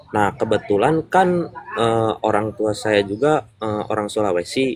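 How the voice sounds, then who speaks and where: A man with a West Javanese accent speaks at a fairly slow pace and a fairly low pitch. His intonation is lively, and there is noticeable background noise. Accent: noticeable regional (Sundanese). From West Java, Purwakarta. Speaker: business member sharing testimony. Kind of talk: interview testimony. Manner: hesitant, many fillers.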